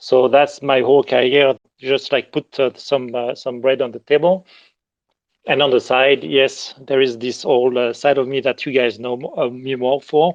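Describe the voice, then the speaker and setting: Speaking at a moderate pace in a French accent, a man holds a medium pitch with fairly even intonation. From southern France. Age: 50s. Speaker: digital artist and art director. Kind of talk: interview. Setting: live audio chat room. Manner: halting, many fillers.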